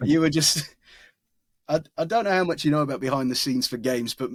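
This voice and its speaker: Recorded dry and close with no echo, a man with an Essex accent talks with ordinary pitch variation. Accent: modern North Essex. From England, North Essex. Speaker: voice actor. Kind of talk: interview. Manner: casual, with many self-interruptions.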